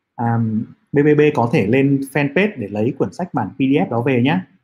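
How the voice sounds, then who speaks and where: A man's somewhat breathy, fairly high voice with lively intonation. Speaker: stock investing livestream host. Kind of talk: livestream talk on investing, answering viewer questions. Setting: livestream, online.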